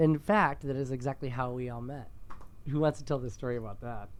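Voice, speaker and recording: A man with a Midwestern accent talks at a fairly quick pace. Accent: Midwestern vowels. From US Midwest, Michigan. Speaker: podcast host, makeup artist. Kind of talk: casual chat.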